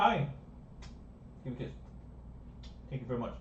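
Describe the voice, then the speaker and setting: A man's voice with audible room echo. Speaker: repair technician and streamer. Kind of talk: live stream repair tutorial. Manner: fast.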